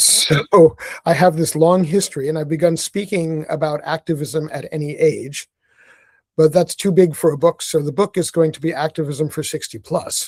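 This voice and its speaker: With an American accent and a plain, everyday voice, a man speaks at a moderate pace in a fairly high pitch, with fairly even intonation, big swings in loudness, and a dry, close sound with no echo. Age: 60s. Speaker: author and activist. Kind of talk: casual chat.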